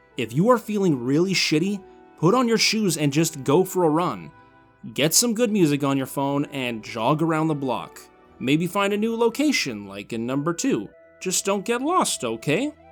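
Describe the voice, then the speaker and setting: Against music in the background, a man with a fairly high pitch talks at a moderate pace with very wide pitch swings. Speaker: YouTuber. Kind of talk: scripted narration. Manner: showy, overly energetic delivery.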